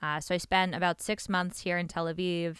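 On a very clean recording with a silent background, a woman in a New York accent speaks at a fairly low pitch with a bright, sharp tone. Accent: New York American. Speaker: venture capital investor. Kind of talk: podcast interview. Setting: studio.

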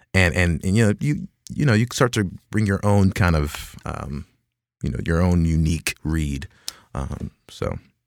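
On a very clean recording with a silent background, a man with an American accent speaks fairly slowly in a very deep, low pitch with lively intonation. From US, Dallas, Texas. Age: 20s. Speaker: movie trailer voice actor. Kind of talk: casual interview.

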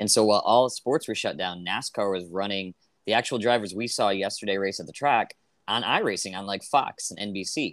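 On a very clean recording with a silent background, a man uses an ordinary speaking voice with a fairly low pitch, ordinary pitch variation and a moderate pace. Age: 30s. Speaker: podcast host, comedian. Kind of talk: casual chat; podcast intro and outro monologue.

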